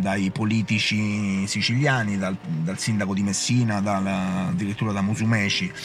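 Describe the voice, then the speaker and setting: Music plays in the background as a man speaks. His pitch is fairly low with ordinary variation. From Sicily. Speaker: activist. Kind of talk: political speech, indignant. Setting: remote link-up from protest. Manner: hesitant, filler-heavy.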